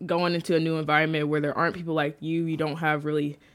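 A woman with an American accent and a very deep, low pitch. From St. Louis area, Missouri (North County). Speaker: university student. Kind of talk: casual interview. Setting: studio.

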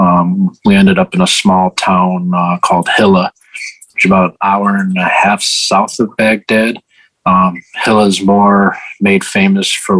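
A man with an American accent, monotone and flat in intonation, at a fairly slow pace, in a dry, close sound with no echo. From US Midwest, Chicago. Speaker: war veteran and author. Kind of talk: interview. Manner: halting, many fillers.

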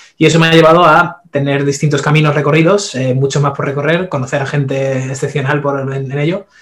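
Flat, monotone intonation runs through speech delivered at a fairly quick pace with hardly any pauses. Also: man, fairly high pitch for a man. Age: 30s. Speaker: nutrition and fitness expert. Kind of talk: interview. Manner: halting.

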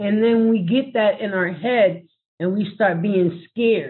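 A woman uses a normal speaking voice with ordinary pitch variation. She speaks at a fairly slow pace. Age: 40s. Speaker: parent advocate. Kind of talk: panel discussion.

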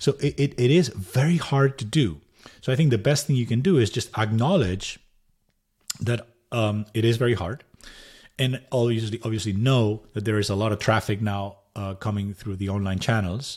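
A man with a Spanish accent speaks at a moderate pace and medium pitch, his voice somewhat breathy with ordinary pitch variation, in a very clean recording with a silent background. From Spain. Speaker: tech startup co-founder. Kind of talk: interview.

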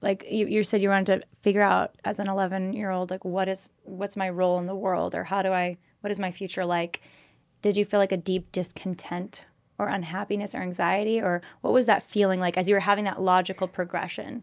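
Speaking in a Californian accent at medium pitch, a woman talks fairly quickly with monotone, flat intonation on a very clean recording with a silent background. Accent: Californian American English. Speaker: podcast host. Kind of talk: interview.

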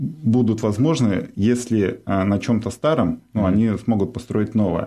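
A man's fairly low-pitched voice with a dark, mellow tone, at a moderate pace and with ordinary pitch variation. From Russian Far East, Nakhodka. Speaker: real estate businessman. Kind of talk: casual interview.

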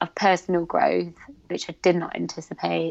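A woman with a British accent and a fairly low pitch. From Britain, Pakistani heritage. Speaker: content creator and activist. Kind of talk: casual interview conversation.

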